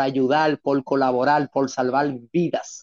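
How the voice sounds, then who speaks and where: The sound is dry and close with no echo as a man speaks at a very slow pace. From Dominican Republic, San Pedro de Macorís. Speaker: paramedic instructor. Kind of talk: interview storytelling. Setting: studio.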